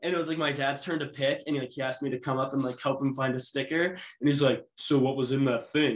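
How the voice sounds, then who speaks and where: With an ordinary speaking voice, a man talks at a fairly quick pace and fairly high pitch, keeping his intonation fairly even. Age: 20s. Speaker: sports podcast co-host. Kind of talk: casual chat.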